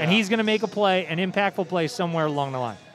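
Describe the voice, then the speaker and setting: Over music in the background, a man with a high voice talks at a very fast pace with ordinary pitch variation. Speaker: high school sports radio broadcaster. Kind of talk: live sports radio broadcast banter. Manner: conversational, opinionated, animated.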